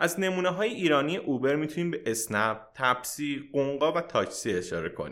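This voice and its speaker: A man's ordinary speaking voice, fairly high-pitched, with lively intonation, a fairly quick pace and hardly any pauses, on a very clean recording with a silent background. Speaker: podcast host. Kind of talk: scripted narration.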